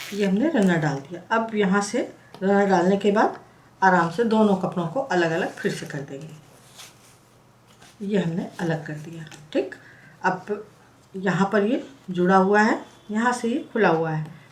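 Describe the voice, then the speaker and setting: With long, frequent pauses and big swings in loudness, the somewhat breathy voice shows ordinary pitch variation. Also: woman, medium pitch for a woman, fairly slow pace. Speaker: craft tutorial creator. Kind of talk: tutorial. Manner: conversational, explanatory.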